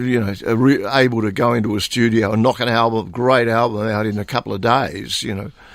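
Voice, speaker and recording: A man speaks in an Australian accent. His pace is fairly quick and his intonation fairly even. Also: medium pitch for a man. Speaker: blues guitarist and singer. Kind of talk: radio interview. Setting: radio studio. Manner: halting, many fillers and repetitions.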